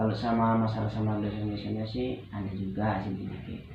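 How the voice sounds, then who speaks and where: At a moderate pace, the voice has ordinary pitch variation, with audible room echo and noticeable background noise. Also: man. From Medan, North Sumatra, Indonesia. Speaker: student playing counseling client. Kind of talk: role-play counseling session.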